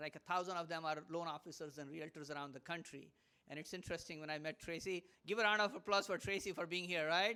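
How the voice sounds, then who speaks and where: Speaking very fast in an animated, bright, sharp tone, a man with an Indian accent has a high-pitched voice. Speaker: motivational speaker. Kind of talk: live talk to audience.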